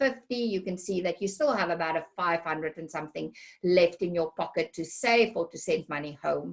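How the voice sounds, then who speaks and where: A woman with a South African accent, a fairly low pitch, ordinary pitch variation and a fairly quick pace. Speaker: healthcare recruiter. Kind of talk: webinar presentation. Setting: online webinar. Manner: hesitant with many fillers.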